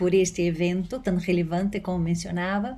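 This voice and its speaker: At a fairly slow pace, a woman with a Portuguese accent speaks at a fairly low pitch with fairly even intonation, and room echo is audible. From Brazil. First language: Portuguese (speaking Spanish). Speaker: law professor. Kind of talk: conference talk. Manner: hesitant, many fillers.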